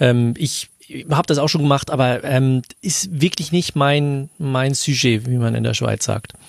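Speaking at a fairly slow pace, the man has a fairly high pitch and an unremarkable speaking voice. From Switzerland. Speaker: podcaster. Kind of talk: casual chat.

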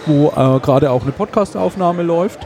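Over noticeable background noise, this speaker keeps a moderate pace and shows ordinary pitch variation. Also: man. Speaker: podcast event organizer. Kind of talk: casual chat. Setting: at a conference with crowd noise around.

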